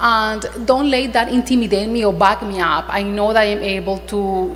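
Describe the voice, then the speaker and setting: Over noticeable background noise, a woman speaks with a non-native accent. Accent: foreign. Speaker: attorney. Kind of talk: panel discussion. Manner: halting.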